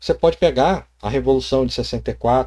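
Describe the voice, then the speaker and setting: A man talking at a fairly slow pace. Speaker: tabletop RPG youtuber. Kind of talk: casual vlog.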